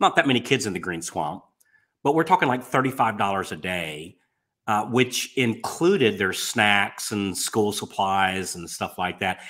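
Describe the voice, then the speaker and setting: In an American accent, a man speaks with a bright, sharp tone and fairly low pitch. His intonation is lively, his pace moderate, and the recording very clean with a silent background. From Florida, US South. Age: 60s. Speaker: mortgage business coach and podcast host. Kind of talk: interview storytelling.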